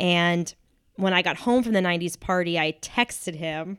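An American accent at a fairly slow pace. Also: woman. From New Hampshire, US. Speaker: actor. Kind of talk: casual chat. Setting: home studio.

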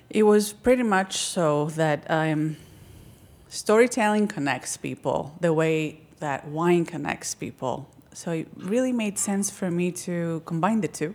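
A woman with a Greek accent, fairly low pitch, lively intonation and a fairly slow pace. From Crete, Greece. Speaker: documentary filmmaker. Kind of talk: casual interview chat.

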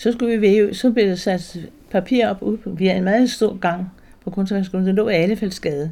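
This woman's voice has a dark, mellow tone at medium pitch. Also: moderate pace. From Denmark, Zealand near Roskilde Fjord. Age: 80s+. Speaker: weaver and textile artist. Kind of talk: interview. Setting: at home. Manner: halting.

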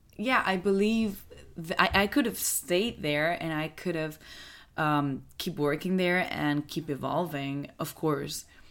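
A woman speaks at a very slow pace with a Spanish accent. The recording is very clean, with a silent background. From Mallorca, Spain. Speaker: actress. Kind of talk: casual interview conversation.

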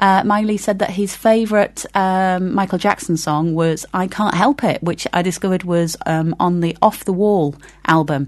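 Her pitch medium, a woman speaks with hardly any pauses. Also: ordinary pitch variation, moderate pace. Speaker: community radio host. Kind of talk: casual chat. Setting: studio. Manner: hesitant, many fillers.

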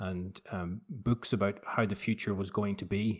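In a Northern Irish accent, a man with a fairly low pitch talks at a fairly slow pace with fairly even intonation. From Northern Ireland, Belfast. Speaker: novelist. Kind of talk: remote interview. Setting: remote call.

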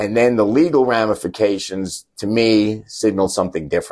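In a normal speaking voice, a man with an American accent talks at a fairly low pitch and a moderate pace. The recording is very clean, with a silent background. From New York. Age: 60s. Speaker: lawyer and team booster. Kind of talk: interview.

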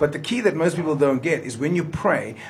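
Somewhat breathy, a man speaks with a fairly high pitch and ordinary pitch variation. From South Africa, Johannesburg (Riverlea). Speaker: motivational speaker. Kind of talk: radio interview. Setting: studio.

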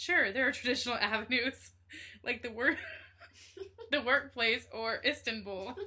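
A woman with an American accent speaks at a moderate pace in a high, bright and sharp voice, with ordinary pitch variation and long, frequent pauses, on a very clean recording with a silent background. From Bakersfield, California. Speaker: podcast host. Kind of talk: casual chat.

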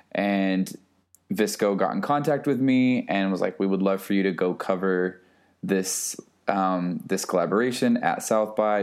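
With an ordinary speaking voice, a man talks at a fairly slow pace, his fairly low pitch held in fairly even intonation. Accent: American. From Texas, small town. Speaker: photographer and music curator. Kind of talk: casual chat.

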